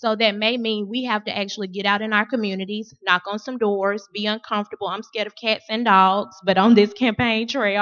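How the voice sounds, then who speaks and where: Close and dry with no echo, a woman's fairly high, bright, sharp voice moves at a fairly quick pace with hardly any pauses, in a monotone, flat intonation. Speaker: school board candidate. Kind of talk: candidate forum speech. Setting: forum at a school with audience. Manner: fast.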